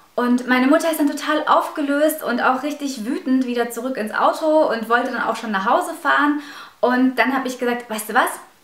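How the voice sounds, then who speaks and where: Room echo is audible as a woman talks at a fairly quick pace. Her pitch is high, with ordinary pitch variation. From Russia, raised in Germany from age five. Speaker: YouTuber; vlogger. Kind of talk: vlog storytelling; casual vlog storytelling. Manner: hesitant, many fillers. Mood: animated, recounting upsetting stories. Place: home room.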